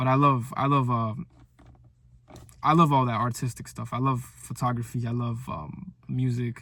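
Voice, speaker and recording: Here a man speaks in an animated way with a bright, sharp tone. His pitch is medium, with ordinary variation, at a moderate pace. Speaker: content creator. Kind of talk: motivational video diary monologue. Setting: talking to camera. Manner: stuttering, many fillers and repeats; casual, animated.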